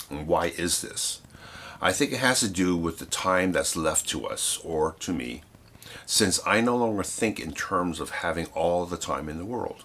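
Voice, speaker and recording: This man's voice is very deep and low, with a bright, sharp tone. He talks at a moderate pace with ordinary pitch variation. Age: 60s. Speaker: photographer and darkroom teacher. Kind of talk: reading aloud.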